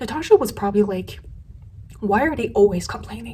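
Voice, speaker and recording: A woman's medium-pitched voice has a dark, mellow tone and vocal fry. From Asia. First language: not English. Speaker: beauty youtuber. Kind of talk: commentary video.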